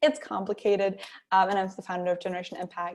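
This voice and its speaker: A woman talks very fast at medium pitch with a German accent. The recording is very clean, with a silent background. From Germany. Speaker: workshop speaker, social enterprise founder. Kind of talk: workshop talk.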